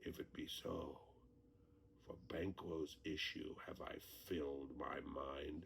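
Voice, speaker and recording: Using a put-on character voice, a man speaks at a very slow pace with clear background noise. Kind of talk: audio drama performance.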